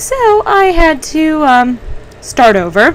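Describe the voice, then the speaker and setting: A woman speaks quietly. Noticeable background noise can be heard. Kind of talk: casual gameplay commentary. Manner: volume fluctuates from quiet to loud.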